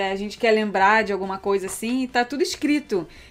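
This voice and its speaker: This woman has an unremarkable speaking voice, fairly high in pitch with ordinary pitch variation. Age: 30s. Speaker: podcast co-host, travel business owner. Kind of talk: casual chat.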